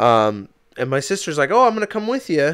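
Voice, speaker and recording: A man's voice sounds animated, with very wide pitch swings. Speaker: podcast co-host. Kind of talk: casual chat. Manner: loud, half yelling.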